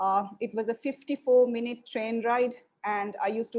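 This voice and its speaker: Talking at a fairly quick pace, a woman with a Sri Lankan accent uses a fairly high pitch and fairly even intonation. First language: Sinhalese. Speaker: lecturer. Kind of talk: lecture.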